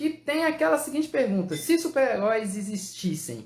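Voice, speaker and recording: A man's lively intonation at a moderate pace. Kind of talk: live stream hosting. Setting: live stream.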